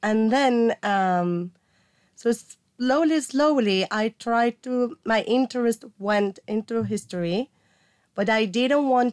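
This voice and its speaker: A woman with a Mexican accent, fairly high in pitch, with ordinary pitch variation. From Mexico. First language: Spanish. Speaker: archaeology graduate student. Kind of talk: casual interview. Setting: studio.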